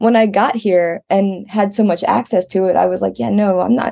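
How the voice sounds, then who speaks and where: A woman speaks with an American accent at a moderate pace. Her tone is dark and mellow. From Maryland, US. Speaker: collage artist. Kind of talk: casual interview chat.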